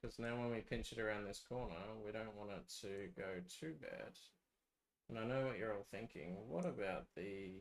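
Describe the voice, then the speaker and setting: A soft-spoken man talks at a moderate pace. His pitch is fairly low, with ordinary variation. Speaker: game map developer streamer. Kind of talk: live stream tutorial.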